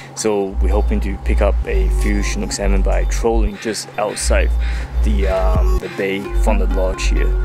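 Clear music plays in the background as a man with a very deep, low pitch speaks with fairly even intonation, the sound dry with no echo. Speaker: fishing channel host. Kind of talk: casual vlog chat. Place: waterside. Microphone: phone near.

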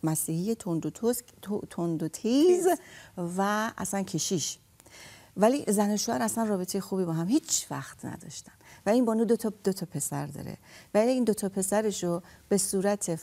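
A woman speaks with a dark, mellow tone and ordinary pitch variation at a moderate pace. She leaves long, frequent pauses. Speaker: counselor. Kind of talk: radio talk show. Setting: studio. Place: studio.

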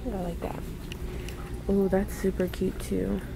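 There is noticeable background noise as a woman talks at a fairly slow pace, the sound dry with no echo. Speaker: vlogger. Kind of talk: casual vlog chat. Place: shop. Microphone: phone near.

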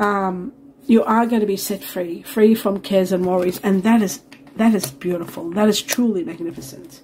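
Over light background noise, a woman speaks. Her pace is moderate and her pitch variation ordinary. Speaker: tarot reader. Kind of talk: tarot reading commentary. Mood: warm, enthusiastic. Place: home room.

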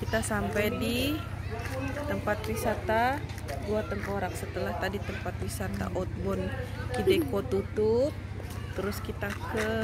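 Fairly slow speech over loud background noise. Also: woman. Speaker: family vlogger. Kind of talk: casual vlog chat. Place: open country. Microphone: phone near.

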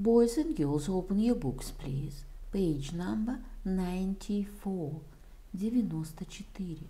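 At a very slow pace, a woman talks with lively intonation at a medium pitch, and audible room echo surrounds her voice. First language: Russian. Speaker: English teacher. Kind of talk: tutorial.

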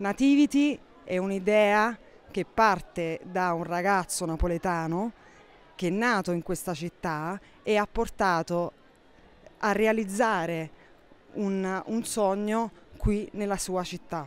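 A woman speaks at a medium pitch and a very slow pace, with long, frequent pauses. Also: ordinary pitch variation. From Naples, Italy. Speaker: contemporary art professional. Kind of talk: interview explanation. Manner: halting with fillers and repetitions.

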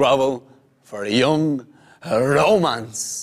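A man speaks with a Dublin accent. The background is quiet. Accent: Dublin Irish. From Ireland, Dublin. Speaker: spoken word poet. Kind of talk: poetry performance.

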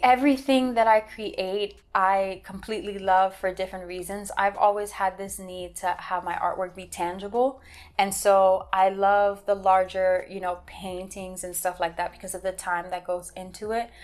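A woman of medium pitch talks at a moderate pace with hardly any pauses, fairly even intonation and big swings in loudness. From Miami, Florida. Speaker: visual artist and author; interviewee. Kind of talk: interview monologue. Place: home room.

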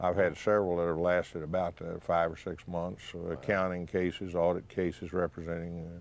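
With a very deep, low pitch, a man talks at a moderate pace in a dry recording with no echo. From Texas Panhandle; Texas. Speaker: trial lawyer. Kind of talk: interview. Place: studio.

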